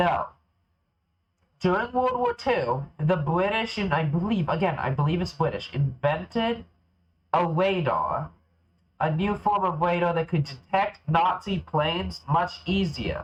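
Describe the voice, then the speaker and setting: A man speaks at a high pitch and a fairly slow pace, with ordinary pitch variation. His loudness stays very even. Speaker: video game streamer. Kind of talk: live gameplay stream chat. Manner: animated.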